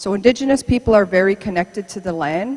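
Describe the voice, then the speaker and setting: Noticeable background noise sits behind a woman's fairly high voice, which shows ordinary pitch variation. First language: Mohawk. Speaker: archaeology supervisor. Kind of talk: public lecture.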